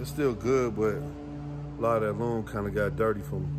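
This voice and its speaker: A man with a fairly low voice speaks over music in the background. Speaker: car enthusiast vlogger. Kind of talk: casual vlog chat. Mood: relaxed, mildly frustrated. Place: garage. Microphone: phone near.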